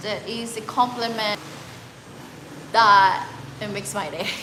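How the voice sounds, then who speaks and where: A fairly high-pitched woman's voice amid noticeable background noise and audible room echo. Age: 30s. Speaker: travel vlogger. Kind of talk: live stream chat. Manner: halting.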